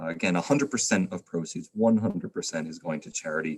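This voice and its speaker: The man's pitch is very deep and low. His intonation is lively and his pace fairly quick. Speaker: trivia host of a charity livestream. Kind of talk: live-stream hosting. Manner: fast.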